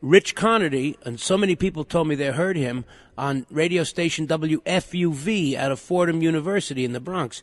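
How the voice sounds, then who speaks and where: A man with an American accent and a fairly high pitch speaks at a moderate pace with ordinary pitch variation, in a dry, close sound with no echo. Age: 60s. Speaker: radio host. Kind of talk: casual chat. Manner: animated.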